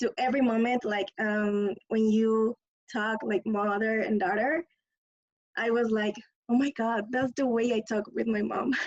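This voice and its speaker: Here a woman with a Spanish accent speaks at a fairly slow pace with fairly even intonation. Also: very even loudness. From Mexico. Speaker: audience member. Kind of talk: casual chat. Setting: video call.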